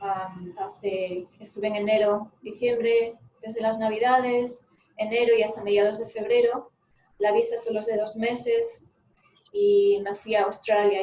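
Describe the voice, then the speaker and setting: The delivery keeps a moderate pace. Intonation stays monotone and flat. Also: woman. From Galicia, Spain. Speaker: remote-work coach and psychologist. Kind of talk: casual chat.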